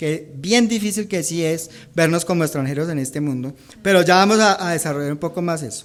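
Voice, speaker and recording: A man is speaking. He talks with a Bogotá accent. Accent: Bogotá Colombian accent, unchanged. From Colombia, Bogotá. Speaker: pastor. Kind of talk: sermon.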